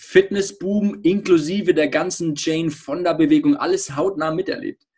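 A man speaks in a high pitch, moderately paced, with lively intonation. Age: 30s. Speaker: podcast host. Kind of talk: interview.

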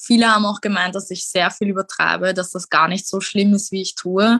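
Recorded with a dry, close sound and no echo, a woman speaks at a medium pitch with fairly even intonation and a bright, sharp tone. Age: 20s. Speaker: mental health speaker with lived experience. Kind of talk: interview.

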